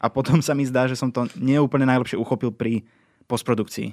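A plain, everyday voice at a fairly quick pace, dry and close with no echo, in a very clean recording with a silent background. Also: man. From eastern Slovakia (Spiš). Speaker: podcast creator and scriptwriter. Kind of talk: casual chat.

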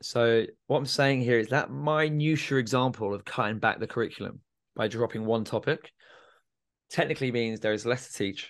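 A man with a southern English accent speaks at a moderate pace against a quiet background. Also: medium pitch for a man, ordinary pitch variation. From England, Milton Keynes. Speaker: student life coach and former teacher. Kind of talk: interview conversation.

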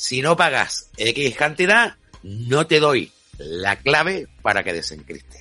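A bright, sharp voice with vocal fry speaks at a very slow pace with very wide pitch swings. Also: man, fairly high pitch for a man. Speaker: radio host. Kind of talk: radio talk show.

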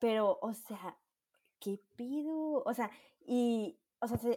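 With a Mexican accent, a woman speaks at a very slow pace in a fairly high pitch. Her tone is dark and mellow, with ordinary pitch variation. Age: 20s. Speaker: podcast co-host. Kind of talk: casual chat.

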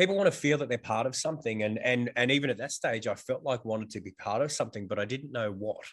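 A man with an Australian accent speaks at a very fast pace with hardly any pauses. His pitch variation is ordinary. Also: medium pitch for a man. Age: 40s. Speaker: fitness instructor and gym owner. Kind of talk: casual chat. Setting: video call.

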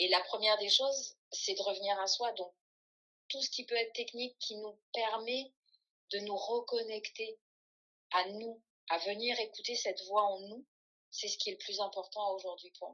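A woman's fairly slow, fairly even speech, with long, frequent pauses and big swings in loudness. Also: fairly high pitch for a woman. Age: 50s. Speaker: holistic coach. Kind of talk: interview conversation. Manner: hesitant, many fillers and repetitions.

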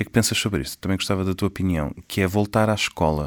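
A man speaks with a very deep, low pitch. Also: very clean recording, silent background. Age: 30s. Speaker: orchestra conductor. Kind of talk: casual chat.

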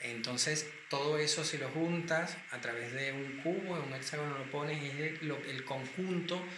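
Amid noticeable background noise and audible room echo, a man speaks at a moderate pace with a fairly high pitch and fairly even intonation. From Venezuela. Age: 40s. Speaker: cosmetics company founder and pharmacist. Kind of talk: interview.

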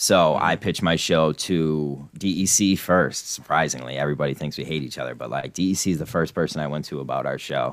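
With an American accent and vocal fry, a man talks at a fairly quick pace with hardly any pauses, his very deep, low voice showing ordinary pitch variation. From Scranton, Pennsylvania. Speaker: podcaster, fan of the show's subject. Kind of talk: casual chat.

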